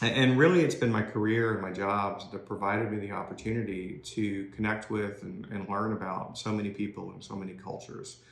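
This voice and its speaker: A man's fairly low voice in a Southern US accent, fairly quick with hardly any pauses and big swings in loudness. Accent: non-Maine accent, Southern. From US South, Georgia (outside Atlanta). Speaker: corporate technology executive, career speaker. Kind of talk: career talk to young people (recorded video). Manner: conversational with many fillers (uh, um).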